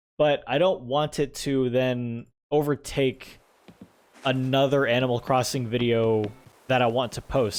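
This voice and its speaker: A man speaks at a medium pitch with fairly even intonation and a relaxed tone. Noticeable background noise runs under the clip. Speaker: gaming YouTuber and streamer. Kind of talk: casual gameplay commentary. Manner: relaxed, chill; halting, many fillers.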